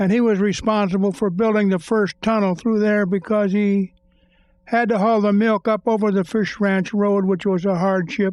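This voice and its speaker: In an American accent, the voice moves at a moderate pace with monotone, flat intonation over a quiet background. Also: man. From US West (Pinole, California). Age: 80s+. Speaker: longtime local resident. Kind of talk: oral history interview.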